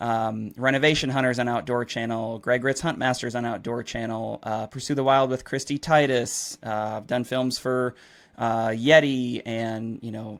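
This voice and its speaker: In a very clean recording with a silent background, a man with an American accent uses a normal speaking voice at medium pitch, keeping a moderate pace and fairly even intonation. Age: 30s. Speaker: hunting videographer. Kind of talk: podcast interview.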